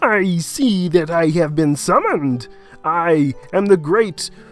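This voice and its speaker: Faint music plays in the background as a put-on character voice at a middle pitch speaks at a fairly slow pace. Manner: grand, summoned-sounding.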